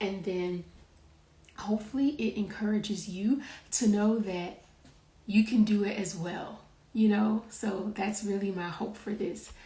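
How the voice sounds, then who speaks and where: A somewhat breathy woman's voice at medium pitch, with fairly even intonation, a fairly slow pace and long, frequent pauses. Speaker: interview show host. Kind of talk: casual video interview.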